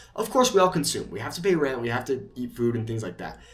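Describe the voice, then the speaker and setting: Audible room echo surrounds a man whose medium-pitched voice swings very widely in pitch. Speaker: YouTube creator. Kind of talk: casual talking-head monologue. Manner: fast; hesitant, many fillers.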